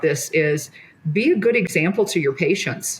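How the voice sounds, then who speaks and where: A somewhat breathy woman's voice with an American accent, at a moderate pace. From US Midwest. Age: 60s. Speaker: physician. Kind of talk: casual chat.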